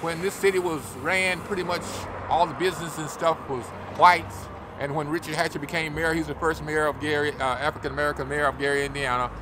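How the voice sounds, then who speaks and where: Over noticeable background noise, a man with a fairly high pitch speaks at a very fast pace with fairly even intonation. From Arkansas. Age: 70s. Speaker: local elected official. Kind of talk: street interview. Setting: outdoors on a city street.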